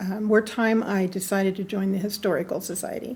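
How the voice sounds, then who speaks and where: With an American accent, a woman speaks at a medium pitch in a somewhat breathy voice. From US West, northern California (Susanville). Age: 70s. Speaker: local historian, historical society secretary. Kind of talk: interview. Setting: museum.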